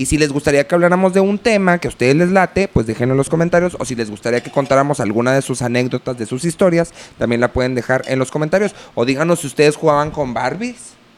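A man's fairly high voice at a very fast pace, with lively intonation. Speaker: podcast host, children's entertainer and producer. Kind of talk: casual chat.

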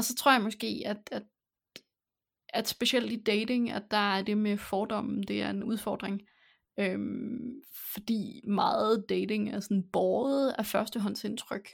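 At a very slow pace, a woman talks with a fairly high pitch, vocal fry and monotone, flat intonation. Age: 20s. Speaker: podcast host. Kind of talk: casual chat.

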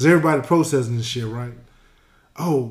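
Audible room echo surrounds a man talking at a very fast pace with a medium pitch. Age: 40s. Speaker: podcast co-host, retired. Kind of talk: casual chat.

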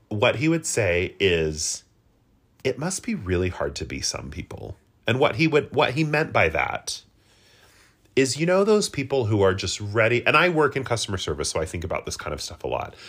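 A man's medium-pitched, animated voice with vocal fry, very wide pitch swings and a moderate pace. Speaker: podcast co-host. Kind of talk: casual comedic chat. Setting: at home with a cat.

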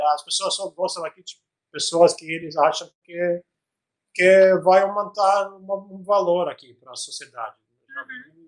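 A man with an Albanian accent and a high pitch, fairly slow with long, frequent pauses, big swings in loudness and fairly even intonation. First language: Albanian (speaking Portuguese). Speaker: tech startup founder. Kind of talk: interview. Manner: halting, many fillers and repetitions.

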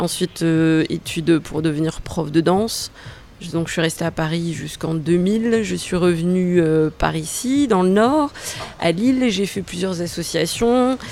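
A woman with a fairly low pitch speaks fairly slowly, her intonation lively, against noticeable background noise. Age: 40s. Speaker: dance teacher and burlesque performer. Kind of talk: interview. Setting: hotel lounge. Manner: hesitant, many fillers.

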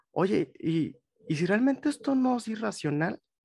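A man talks fairly slowly, with lively intonation. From Mexico, Monterrey. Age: 20s. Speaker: psychologist. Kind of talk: interview.

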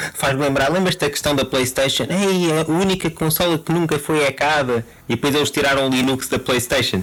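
With a European Portuguese accent and a fairly high pitch, a man talks at a fairly quick pace with hardly any pauses, very even loudness and ordinary pitch variation, over noticeable background noise. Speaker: football podcast co-host. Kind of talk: casual chat. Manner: halting, repeats words.

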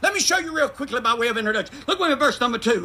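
A man with a Southern US accent talks in a raised, projected voice with an animated tone and ordinary pitch variation. Noticeable background noise runs behind him. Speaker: guest preacher. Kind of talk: sermon to congregation in cars, preacher in full flow, call-and-response. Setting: drive-in church, congregation in vehicles. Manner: animated, emphatic, urging, repeats phrases and invites 'amen'.

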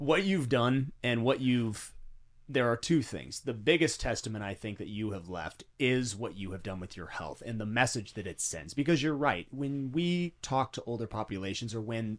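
A normal speaking voice moves at a moderate pace with lively intonation. The recording is very clean, with a silent background. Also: man. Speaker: fitness podcast host. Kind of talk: casual interview.

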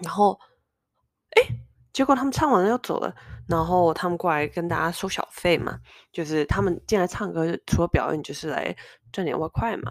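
A woman's voice carries vocal fry and lively intonation. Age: 30s. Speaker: podcast host. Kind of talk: casual solo monologue.

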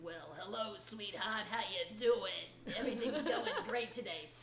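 A female-sounding put-on character voice comes through at a fairly high pitch. The pace is moderate, with clear background noise. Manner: smooth, casual.

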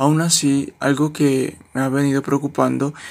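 A man is speaking. His pitch is fairly high. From Colombia, Pasto (Nariño). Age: young. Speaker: university student. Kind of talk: interview. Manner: formal.

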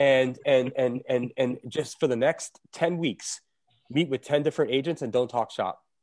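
Recorded with a dry, close sound and no echo, a man with an American accent talks in a plain, everyday voice at medium pitch, moderate pace and fairly even intonation. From South Florida. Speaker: real estate team leader. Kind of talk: casual interview chat. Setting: video call. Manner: talkative, filler-heavy, conversational.

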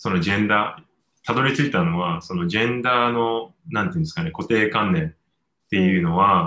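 Speaking at a fairly quick pace, a man with a fairly low pitch uses lively intonation and a bright, sharp tone. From Japan. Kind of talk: interview conversation.

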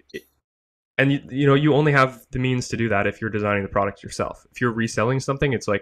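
Here a man talks with fairly even intonation. The background is quiet. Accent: Canadian. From eastern Canada. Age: young. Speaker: 3D printing business owner. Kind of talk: interview. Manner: hesitant with many fillers.

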